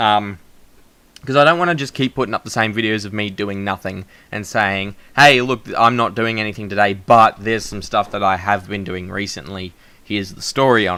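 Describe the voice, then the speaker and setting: With an Australian accent, a man talks at a fairly quick pace and fairly low pitch, his bright, sharp tone showing ordinary pitch variation and big swings in loudness, on a very clean recording with a silent background. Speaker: vlogger. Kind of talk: casual chat. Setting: home recording, shared mic. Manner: projecting.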